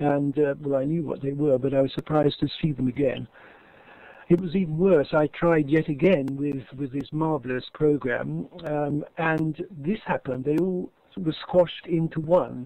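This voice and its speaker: A man with an English accent speaks at a moderate pace in a dark, mellow tone, his intonation fairly even. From England. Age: 70s. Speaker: English teacher. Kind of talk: conference presentation. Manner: halting.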